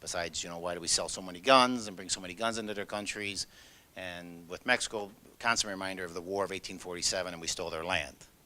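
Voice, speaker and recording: Speaking very fast with a Chicago accent, the voice has a bright, sharp tone, fairly even intonation and big swings in loudness. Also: man, very deep, low pitch for a man. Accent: Chicago American English. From US Midwest, Chicago. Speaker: law enforcement agent. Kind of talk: presentation.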